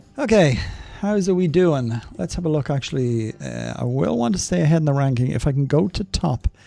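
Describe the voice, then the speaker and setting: With a strong Irish accent, a man talks at a fairly quick pace in a fairly high voice with lively intonation. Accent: thick Irish. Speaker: gaming streamer. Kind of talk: live gaming stream commentary.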